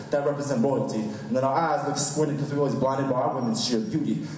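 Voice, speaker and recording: A man's very fast speech with fairly even intonation, over noticeable background noise. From United States. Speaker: slam poet. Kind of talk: spoken word poetry performance. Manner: rhythmic, fast.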